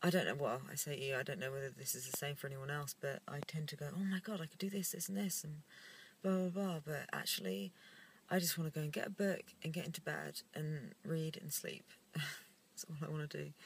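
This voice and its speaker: Against light background noise, a woman with a very deep, low pitch talks fairly quickly and somewhat breathily with lively intonation, in a dry sound with no echo. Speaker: vlogger. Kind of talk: casual vlog chat. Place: car. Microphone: phone near.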